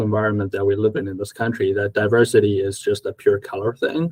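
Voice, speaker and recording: A man's somewhat breathy, fairly low-pitched voice with an American accent, at a very fast pace. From South Africa. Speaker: accounting firm owner. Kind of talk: casual conversation.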